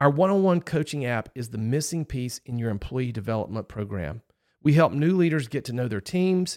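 On a very clean recording with a silent background, a man has a normal speaking voice. He speaks at a moderate pace and medium pitch. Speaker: podcast host. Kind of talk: interview conversation. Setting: studio.

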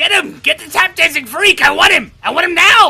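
A man puts on a character voice. It comes out shrill. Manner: demanding, menacing.

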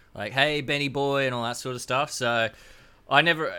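A man rattles along at a very fast pace in an Australian accent. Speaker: podcast guest. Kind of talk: casual chat.

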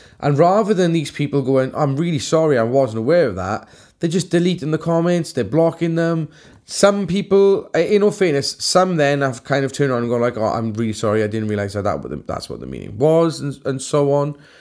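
Here is a man with a Welsh accent and a fairly high pitch. His tone is animated, his intonation lively and his pace fairly quick. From Wales. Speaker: tattoo artist and podcast co-host. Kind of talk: casual chat.

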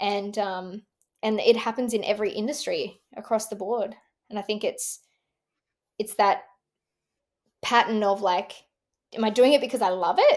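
Speaking in an Australian accent at a moderate pace, a woman with a fairly high pitch and fairly even intonation leaves long, frequent pauses, on a very clean recording with a silent background. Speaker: entrepreneur and former motocross racer. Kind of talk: interview conversation.

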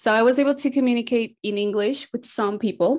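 The speaker has a Spanish accent and talks at a moderate pace. The recording is very clean, with a silent background. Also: woman. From South America. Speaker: missionary mobilizer. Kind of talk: interview conversation.

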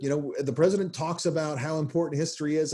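Speaking at a fairly quick pace with an American accent, the man has a fairly high pitch and a somewhat breathy, dark, mellow tone. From US South, Nashville. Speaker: history professor. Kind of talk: interview. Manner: halting, many fillers.

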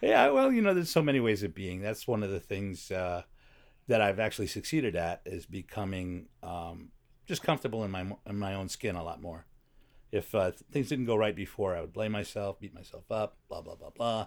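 A man with an American accent talks fairly quickly in a fairly low voice, with ordinary pitch variation and big swings in loudness. He has an ordinary speaking voice, and the recording is very clean against a silent background. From Chicago, US Midwest. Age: 60s. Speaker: comedy writer and voiceover actor. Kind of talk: casual chat.

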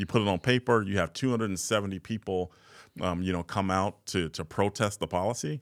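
A man's normal speaking voice, fairly low in pitch with ordinary variation, at a fairly quick pace, in a very clean recording with a silent background and a dry, close sound with no echo. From US Midwest, South Side of Chicago. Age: 40s. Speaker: nonprofit chief executive. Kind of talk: casual interview conversation.

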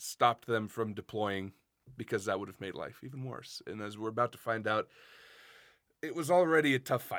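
In a very clean recording with a silent background, a man talks with an American accent. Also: dry, close sound with no echo. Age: 20s. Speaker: podcast co-host. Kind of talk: casual chat.

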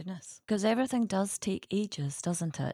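Heard as a dry, close sound with no echo on a very clean recording over a silent background, the voice has a dark, mellow tone and ordinary pitch variation. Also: woman. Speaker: podcast host and crofting adviser. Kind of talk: interview, informative discussion.

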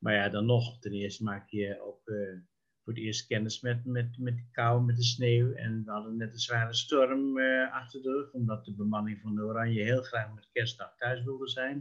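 A man's somewhat breathy voice at medium pitch, with fairly even intonation and a moderate pace. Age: 70s. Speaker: sociologist and local councillor. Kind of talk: interview reminiscing. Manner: halting, many hesitations.

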